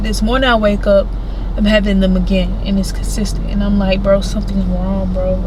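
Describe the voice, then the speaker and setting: A woman speaks fairly quickly, with audible room echo and noticeable background noise around her. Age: 20s. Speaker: vlogger. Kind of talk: casual chat. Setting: in a car. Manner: animated.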